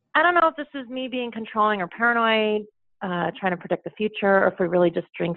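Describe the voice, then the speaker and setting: Hers is an ordinary speaking voice, with ordinary pitch variation and a fairly quick pace. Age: 40s. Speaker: caller with a dating question. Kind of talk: advice call.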